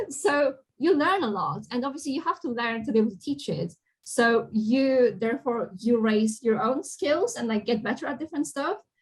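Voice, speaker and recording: A woman with a non-native accent and a high pitch speaks at a moderate pace, her pitch swinging very widely. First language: not English. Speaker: games industry professional, college alumna. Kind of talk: Q&A talk. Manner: animated.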